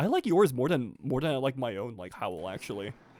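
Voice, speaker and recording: A man talks fairly quickly with a fairly high pitch, vocal fry and very wide pitch swings. The recording is very clean, with a silent background and a dry, close sound with no echo. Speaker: streamer and cosplayer. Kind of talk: casual gaming livestream commentary. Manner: casual, hesitant with frequent restarts.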